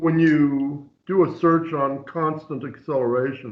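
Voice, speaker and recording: A man's voice with audible room echo. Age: 70s. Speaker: author of catastrophist astronomy theories. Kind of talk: casual chat. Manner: halting.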